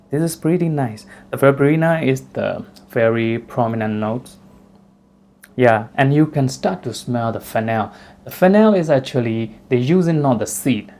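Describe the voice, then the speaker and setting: A man with a Burmese accent, dark and mellow in tone, medium in pitch, with lively intonation at a moderate pace. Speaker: fragrance reviewer. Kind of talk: product review. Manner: casual, hesitant with fillers.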